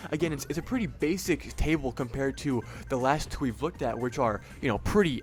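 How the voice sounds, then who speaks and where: Over music in the background, a man at a medium pitch talks at a fairly quick pace with ordinary pitch variation. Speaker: online video host ranking products. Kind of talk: casual product ranking commentary. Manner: fast; hesitant with fillers.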